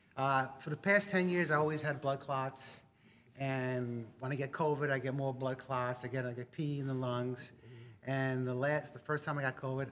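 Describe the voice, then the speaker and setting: With a New York accent, a man speaks at a moderate pace, his medium pitch held in fairly even intonation. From New York, Long Island. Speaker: army veteran. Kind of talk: casual interview.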